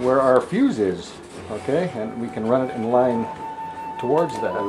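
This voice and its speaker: A man's voice over clear music in the background. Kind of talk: tutorial. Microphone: camera far.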